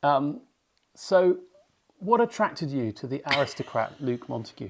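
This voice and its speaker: At a moderate pace, a man speaks with a fairly high pitch that swings very widely. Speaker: co-host of estate channel. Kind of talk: casual chat.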